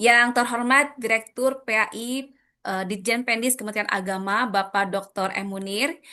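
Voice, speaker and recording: A woman speaks at a moderate pace with a fairly high pitch and ordinary pitch variation. Her tone is bright and sharp against a quiet background. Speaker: event moderator. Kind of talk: formal event opening speech. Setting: video call. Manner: formal.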